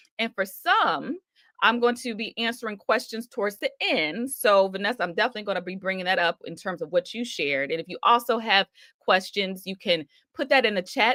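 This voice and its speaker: A woman speaks at a medium pitch and a moderate pace, in an ordinary speaking voice. The sound is dry and close, with no echo. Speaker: minister and ministry coach. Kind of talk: live-streamed sermon-style coaching talk. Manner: warm, upbeat, conversational, encouraging.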